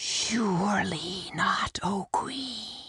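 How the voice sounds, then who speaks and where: A woman whispers and growls in a put-on character voice. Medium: audio drama. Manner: whispering, fawning.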